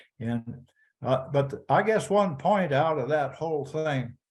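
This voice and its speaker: A man speaks at a fairly slow pace with an American accent. His intonation is lively and his voice somewhat breathy. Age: 80s+. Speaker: rancher, former cattle association president. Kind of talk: casual interview conversation. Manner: halting, repeats words.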